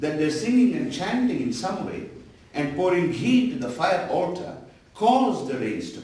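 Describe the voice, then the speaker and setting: The voice swings very widely in pitch at a moderate pace, with noticeable background noise and audible room echo. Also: man. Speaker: professor. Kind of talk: lecture.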